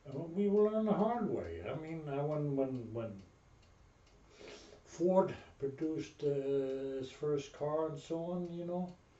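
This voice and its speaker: A man with a German accent speaks at a moderate pace in a fairly high, somewhat breathy voice with ordinary pitch variation. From Berlin, Germany. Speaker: Navy veteran. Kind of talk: interview answer.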